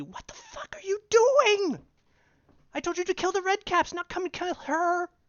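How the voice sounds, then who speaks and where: Putting on a character voice, a man hisses his words in an extremely high pitch at a moderate pace. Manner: hissing.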